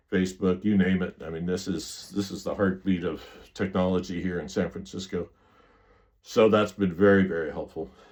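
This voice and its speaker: Fairly even intonation marks speech delivered at a moderate pace. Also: man, very deep, low pitch for a man. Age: 60s. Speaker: sailor and cancer survivor vlogger. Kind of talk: casual vlog monologue. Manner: halting, with repetitions and fillers.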